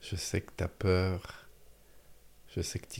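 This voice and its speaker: His voice has a dark, mellow quality. This man sounds somewhat breathy as he talks. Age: 40s. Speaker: author and speaker on happiness. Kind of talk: casual chat. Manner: halting.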